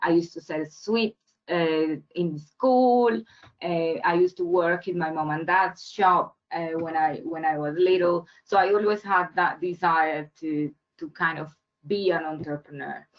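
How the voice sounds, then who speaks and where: Speaking with a Spanish accent, a woman talks at a fairly slow pace in a fairly low pitch with ordinary pitch variation. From Colombia. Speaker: entrepreneur. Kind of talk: webinar talk. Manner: halting, many fillers and repeats.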